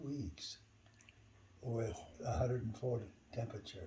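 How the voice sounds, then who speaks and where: At a fairly slow pace, a man with a medium pitch and ordinary pitch variation speaks in a dark, mellow tone that is somewhat breathy. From US West (rural Idaho). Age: 80s+. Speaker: church member. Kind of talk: interview. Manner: casual, conversational.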